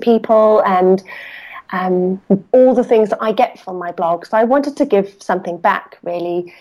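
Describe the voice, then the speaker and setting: A woman speaks in a plain, everyday voice at a fairly quick pace, with ordinary pitch variation, on a very clean recording with a silent background. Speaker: yarn designer. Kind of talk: casual chat.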